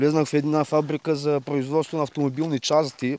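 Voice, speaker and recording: A man talks at a moderate pace against noticeable background noise. His pitch is fairly high. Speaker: dog owner. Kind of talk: casual interview.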